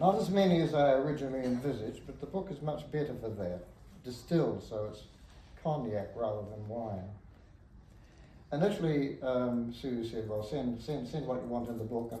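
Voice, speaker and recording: A man with a New Zealand accent talks at a fairly quick pace in a medium pitch, his intonation lively. Noticeable background noise and audible room echo surround him. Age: 80s+. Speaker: poet. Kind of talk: book launch speech. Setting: bookshop event with audience.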